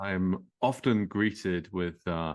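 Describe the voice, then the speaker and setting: Speaking with a strong British accent, a man uses a fairly low pitch and ordinary pitch variation against a quiet background. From England. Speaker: author. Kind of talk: podcast interview. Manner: hesitant, repeats words.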